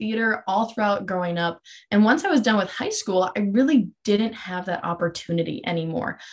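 Against a quiet background, a woman speaks in a somewhat breathy voice with ordinary pitch variation. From North Dakota, Minot. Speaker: physical therapy student and pageant titleholder. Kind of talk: interview. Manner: poised, articulate.

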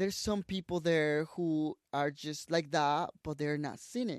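This man speaks with a Mexican accent. The sound is dry and close, with no echo. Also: quiet background. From Mexico, Tabasco. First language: Spanish. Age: 20s. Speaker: social media creator and photographer. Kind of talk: casual interview chat.

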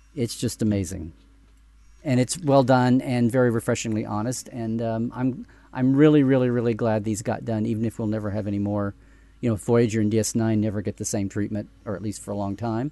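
With a normal speaking voice, a man talks at a fairly quick pace, medium in pitch, his intonation fairly even. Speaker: Star Trek expert guest. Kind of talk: casual panel discussion.

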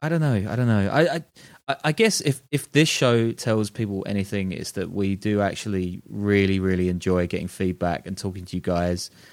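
In a British accent, a man speaks at a fairly low pitch, captured in a very clean recording with a silent background. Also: lively intonation, moderate pace. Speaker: podcast co-host and journalist. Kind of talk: casual chat.

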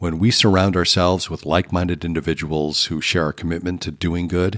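A man speaks at a fairly quick pace with a very deep, low pitch. His intonation is monotone and flat, on a very clean recording with a silent background. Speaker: podcast host. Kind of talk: scripted narration of a devotional podcast episode. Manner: earnest, instructive.

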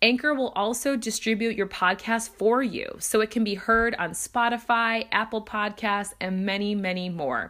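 With an animated tone, a woman speaks at a fairly high pitch and moderate pace, with ordinary pitch variation and hardly any pauses. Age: 30s. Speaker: podcast host. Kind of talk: casual interview chat.

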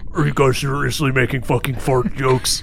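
Over clear background noise, a man puts on a character voice at medium pitch and a fairly quick pace.

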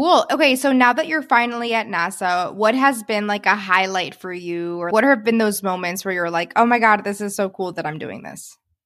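A woman with a plain, everyday voice talks at a moderate pace and medium pitch, with lively intonation and hardly any pauses. Her loudness swings widely on a very clean recording with a silent background. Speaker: podcast host and career coach. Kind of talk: podcast interview.

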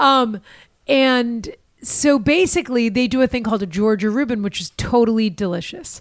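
In a very clean recording with a silent background, a woman with an American accent speaks at a moderate pace, her fairly high pitch moving with lively intonation. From Massachusetts, North Shore of Boston. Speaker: actor and comedian. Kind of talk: casual chat. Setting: studio.

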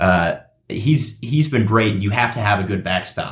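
A man talks fairly quickly, his fairly low voice carrying a somewhat breathy quality. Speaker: guest sports broadcaster. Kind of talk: casual sports chat.

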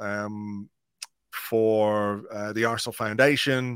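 In an Irish accent, a man speaks with a dry, close sound that has no echo. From England then Ireland. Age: 50s. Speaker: blogger and podcaster. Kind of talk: casual chat.

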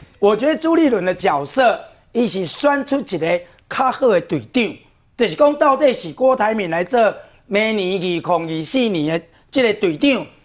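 A man talks at a high pitch and a moderate pace. His pitch swings very widely. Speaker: city councillor. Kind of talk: TV political talk show.

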